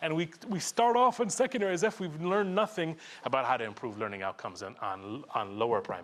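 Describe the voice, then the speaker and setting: Very fast man's voice, fairly high in pitch, with very wide pitch swings and vocal fry. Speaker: conference presenter, education researcher. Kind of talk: conference presentation. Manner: animated.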